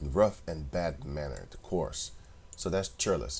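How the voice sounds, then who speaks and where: Speaking with a non-native accent, a man has a very deep, low pitch and vocal fry. His intonation is lively and his pace fairly slow. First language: not English. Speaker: religious video commentator. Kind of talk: religious commentary monologue. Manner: casual, conversational.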